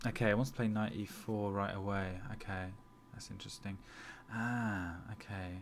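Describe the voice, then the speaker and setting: Flat, monotone delivery from a man with a fairly low pitch, plus audible room echo. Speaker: chess streamer. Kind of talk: live chess commentary and game review. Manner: halting, many fillers and repetitions; fast.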